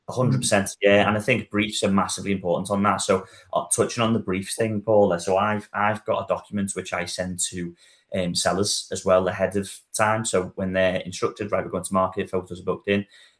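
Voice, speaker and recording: In a Liverpool accent, a man talks at a fairly quick pace with a fairly low pitch and monotone, flat intonation against a quiet background. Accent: Scouse. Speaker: estate agent. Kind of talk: casual panel discussion. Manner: hesitant, with fillers and repetitions.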